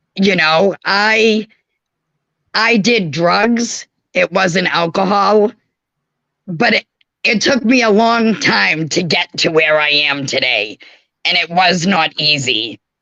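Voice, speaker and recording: A woman speaks with a Boston accent at medium pitch, very slowly, with long, frequent pauses. Her bright, sharp tone has lively intonation, very even loudness, and a dry, close sound with no echo. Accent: Boston-area New England. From Massachusetts. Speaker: caller. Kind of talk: call-in testimony. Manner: halting, repeating words.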